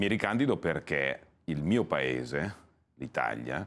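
Vocal fry in a male voice. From Italy, Cremona (Lombardy); Lombardy, Italy. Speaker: politician. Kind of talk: TV interview, political pitch. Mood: calm, persuasive. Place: studio. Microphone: lapel.

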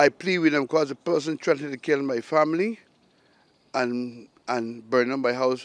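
A man speaks at a moderate pace with a Barbadian accent and ordinary pitch variation. The sound is dry and close, with no echo. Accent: Barbadian (Bajan). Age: 60s. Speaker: fire victim. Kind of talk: news interview.

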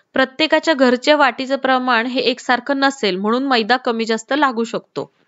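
A woman talks with fairly even intonation. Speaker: cooking channel host. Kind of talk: cooking tutorial. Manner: quieter than usual.

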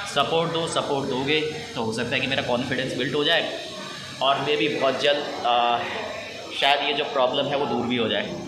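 Music plays in the background as the speaker talks at a moderate pace. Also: man. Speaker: travel vlogger. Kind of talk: casual vlog chat. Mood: reflective, slightly unsure. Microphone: phone near.

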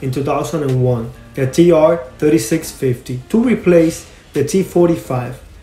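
Music plays in the background as a man talks. His pace is moderate and his pitch varies normally. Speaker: car enthusiast video host. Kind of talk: casual talk to camera.

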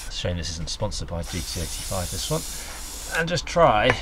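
Noticeable background noise fills the recording. A man talks over it. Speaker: climbing instructor. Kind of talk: tutorial. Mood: relaxed, casual. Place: garden.

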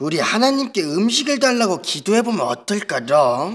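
A man performs a cartoonish character voice, pitched high for a man. His pitch swings very widely as he speaks at a moderate pace. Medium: puppet. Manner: upbeat, cutesy.

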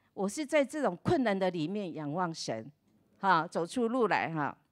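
An animated woman's voice with very wide pitch swings, over a quiet background. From Taiwan. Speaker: pastor's wife. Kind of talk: testimony. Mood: warm, cheerful, grateful. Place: church. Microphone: handheld.

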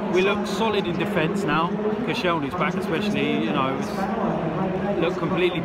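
There is loud background noise behind the man. He speaks at a fairly slow pace. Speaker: football fan vlogger. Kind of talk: casual vlog commentary. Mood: calm, mildly frustrated. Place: stadium. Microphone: phone near.

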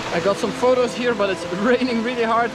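The speech moves at a fairly quick pace with fairly even intonation. The sound is dry with no echo, though there is noticeable background noise. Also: man. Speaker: travel vlogger. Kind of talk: vlog narration. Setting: outdoors. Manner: hesitant with many fillers. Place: rain. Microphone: phone near.

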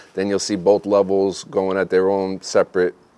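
A man's very deep, low voice with a dark, mellow tone. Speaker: gear reviewer. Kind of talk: product review. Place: open country. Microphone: lapel.

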